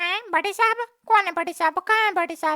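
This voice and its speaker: A cartoonish character voice, squeaky and extremely high in pitch. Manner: questioning, puzzled.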